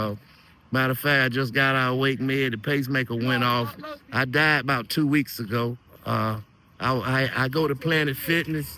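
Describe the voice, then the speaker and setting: Medium pitch from a man, with fairly even intonation, very even loudness and a moderate pace. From North Carolina (Durham). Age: 60s. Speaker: interviewee on street interview. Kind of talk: casual interview testimony.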